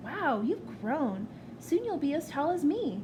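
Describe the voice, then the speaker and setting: A woman's put-on character voice with a warm tone, fairly slow, over loud background noise. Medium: read story. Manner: friendly, warm.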